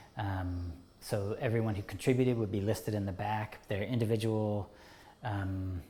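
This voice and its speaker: The man's fairly low, somewhat breathy voice has a dark, mellow tone and moves at a moderate pace. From England, outside London. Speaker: artist, educator and organizer. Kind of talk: oral history interview answer.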